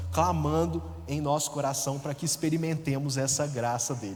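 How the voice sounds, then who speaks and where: A man in a rural Minas Gerais accent talks at a moderate pace with very wide pitch swings, heard with audible room echo and noticeable background noise. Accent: Minas Gerais interior accent, noticeable. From interior of Minas Gerais, Brazil. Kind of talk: testimony. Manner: conversational, many fillers.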